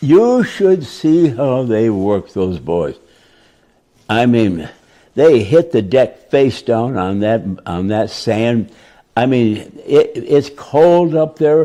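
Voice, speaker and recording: With an American accent, a man speaks at a very slow pace in a dark, mellow tone, his pitch swinging very widely between long, frequent pauses. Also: medium pitch for a man. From Detroit. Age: 80s+. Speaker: war veteran. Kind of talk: interview answer.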